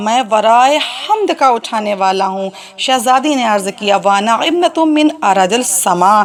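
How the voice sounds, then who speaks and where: Noticeable background noise sits beneath the speech. The intonation rises and falls in a lively way. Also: woman, fairly high pitch for a woman. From India. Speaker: Islamic orator. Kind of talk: religious lecture (majlis) recounting a historical narrative.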